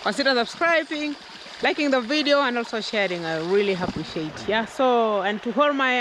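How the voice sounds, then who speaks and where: A woman's high voice with very wide pitch swings, dry sound with no echo and noticeable background noise. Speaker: vlogger. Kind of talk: casual vlog chat. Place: forest. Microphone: phone near.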